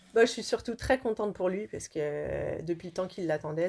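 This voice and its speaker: Her medium-pitched voice carries lively intonation as the woman speaks. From France, Lyon. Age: 30s. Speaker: model and actress. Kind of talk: interview. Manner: hesitant.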